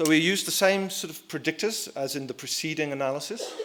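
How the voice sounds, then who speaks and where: Over noticeable background noise, a man with a fairly high pitch speaks at a moderate pace. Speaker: survey researcher. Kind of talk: conference presentation. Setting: conference hall with audience. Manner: soft-spoken; halting.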